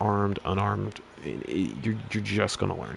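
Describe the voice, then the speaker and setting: There is noticeable background noise as a man speaks at a fairly low pitch. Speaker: gaming YouTuber. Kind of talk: casual game review rant. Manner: monotone; halting, many restarts.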